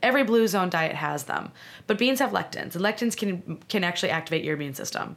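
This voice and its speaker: A woman with a medium pitch, an American accent, lively intonation and a very fast pace. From US Midwest (Illinois). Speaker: medical doctor. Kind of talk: casual interview. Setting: in-person studio.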